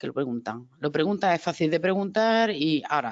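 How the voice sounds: Low-pitched and full of lively intonation, a woman's voice comes through dry and close with no echo.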